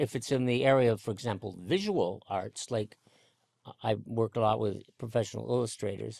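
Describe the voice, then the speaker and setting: With an American accent and some vocal fry, this man speaks at a moderate pace in a medium pitch with ordinary pitch variation. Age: 80s+. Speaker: former patent office head. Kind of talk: interview. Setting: in-person interview. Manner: halting, many fillers.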